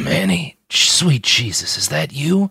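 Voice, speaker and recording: Using a put-on character voice, a man speaks fairly slowly with a raspy sound and very wide pitch swings. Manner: slurred.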